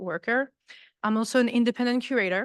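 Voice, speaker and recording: A French accent at a fairly quick pace, in a dry, close sound with no echo and a quiet background. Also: woman. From France, Paris. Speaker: artist and visiting professor. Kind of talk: lecture.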